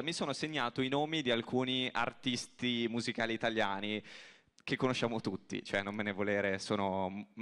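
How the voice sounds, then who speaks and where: A man with a medium pitch talks at a fairly quick pace over a quiet background. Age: 20s. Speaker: radio presenter. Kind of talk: stage interview. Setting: stage with audience. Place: stage. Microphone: handheld.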